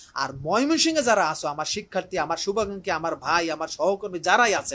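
His voice high in pitch, this man speaks with a bright, sharp tone. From Barishal, Bangladesh. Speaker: teacher. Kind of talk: live appeal. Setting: room in his home, live stream.

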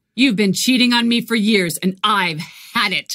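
A woman talks at a moderate pace and medium pitch. Her pitch variation is ordinary. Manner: furious, steady.

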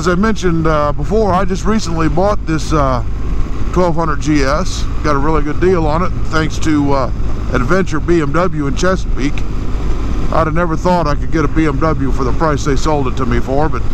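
Fairly quick speech, dry with no echo, over noticeable background noise. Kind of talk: casual moto vlog chat. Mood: relaxed, enthusiastic about bike. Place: motorbike. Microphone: helmet.

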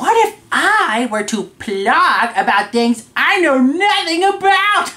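In a cartoonish character voice, the speaker goes at a fairly slow pace with an extremely high pitch and very wide pitch swings. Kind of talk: casual talk to camera. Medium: puppet. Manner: upbeat.

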